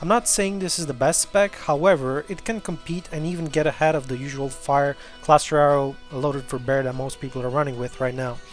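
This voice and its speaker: A man with a non-native accent speaks at a fairly high pitch, fairly quickly and with hardly any pauses, using ordinary pitch variation. Music plays in the background. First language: not English. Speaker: video game player. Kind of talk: video game guide narration. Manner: casual, conversational.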